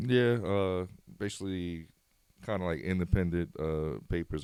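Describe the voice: The man's voice has a clear, smooth tone that is slightly mellow.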